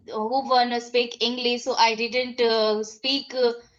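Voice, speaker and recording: Speaking at a very slow pace in an Indian accent, a woman keeps her high voice in a monotone, flat intonation. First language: Hindi. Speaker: English learner. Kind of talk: casual chat. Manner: halting.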